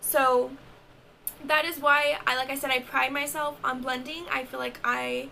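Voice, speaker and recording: A woman talks at a fairly slow pace. Noticeable background noise sits behind her voice. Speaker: makeup artist and beauty vlogger. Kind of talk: tutorial. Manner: casual, chatty.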